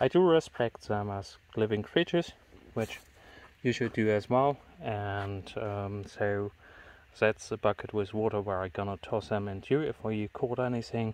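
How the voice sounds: A man talks at a fairly slow pace, his fairly low voice slightly mellow in tone. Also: ordinary pitch variation.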